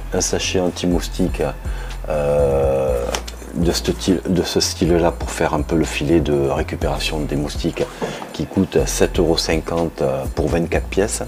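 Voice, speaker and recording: With music in the background, a man with a very deep, low pitch speaks at a very slow pace with ordinary pitch variation. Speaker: DIY video maker. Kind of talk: tutorial. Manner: soft-spoken; halting.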